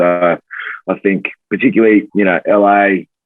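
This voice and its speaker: His pitch variation is ordinary. The speaker is a man with an Australian accent. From Australia, Tamworth, New South Wales. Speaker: pro rugby player. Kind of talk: podcast interview.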